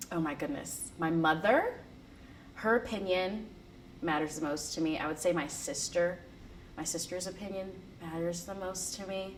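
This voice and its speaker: Long, frequent pauses break up a woman's medium-pitched speech in an American accent, delivered at a moderate pace with ordinary pitch variation, audible room echo and noticeable background noise. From US, small town. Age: 20s. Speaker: student. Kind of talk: interview. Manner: casual, with many fillers and repeats.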